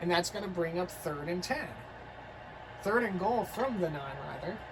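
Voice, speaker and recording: Audible room echo surrounds a woman as she speaks at a moderate pace. Noticeable background noise is present too. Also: fairly low pitch for a woman, lively intonation. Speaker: video game commentator. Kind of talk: live commentary.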